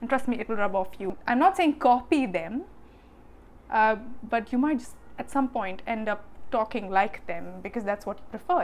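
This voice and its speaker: A woman speaks in a fairly high voice with an Indian accent. Her pace is fairly quick. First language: Hindi. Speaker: vlogger. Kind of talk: casual vlog talk. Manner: fast.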